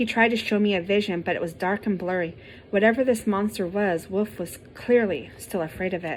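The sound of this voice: Someone reads aloud without forcing the voice. The pitch rises and falls a normal amount.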